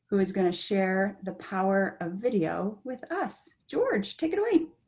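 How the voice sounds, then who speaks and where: Somewhat breathy and medium in pitch, a woman talks at a fairly slow pace with lively intonation. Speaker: webinar host, edtech trainer. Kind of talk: webinar hosting.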